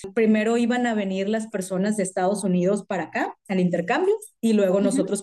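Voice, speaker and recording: A woman talks at a fairly quick pace. Her voice sits fairly high and has a dark, mellow tone. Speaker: amateur marathon runner, office worker. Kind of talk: casual chat.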